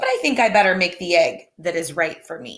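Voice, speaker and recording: Using a raspy, put-on character voice, a woman talks at medium pitch and a fairly quick pace. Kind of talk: bedtime story. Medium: read story. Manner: earnest, cheerful.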